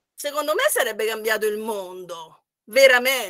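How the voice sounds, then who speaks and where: Against a quiet background, a woman with a bright, sharp, fairly high voice talks at a fairly quick pace with ordinary pitch variation. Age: 60s. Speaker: economics professor. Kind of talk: online workshop talk. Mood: warm, often smiling. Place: home room. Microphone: webcam.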